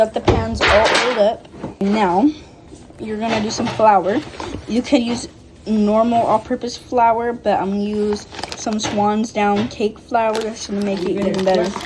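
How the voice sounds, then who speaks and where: Over noticeable background noise, a woman talks at a moderate pace in a medium pitch with fairly even intonation. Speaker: home cooking vlogger. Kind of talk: cooking tutorial vlog. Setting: home kitchen. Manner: casual, filler-heavy; talking quietly.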